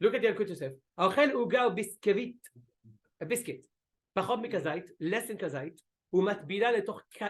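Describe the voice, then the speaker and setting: A man talks in a high pitch. His pitch variation is ordinary. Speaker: rabbi teaching a class. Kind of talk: religious lecture with discussion. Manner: fast.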